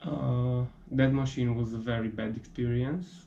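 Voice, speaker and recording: Speaking at a fairly slow pace, a man has a medium pitch and a dark, mellow tone that is somewhat breathy. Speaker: hobbyist metalworker. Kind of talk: casual talk to camera.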